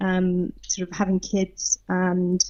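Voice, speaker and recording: Somewhat breathy, a woman talks with a British accent. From southern England. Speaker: leadership coach. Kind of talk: podcast interview.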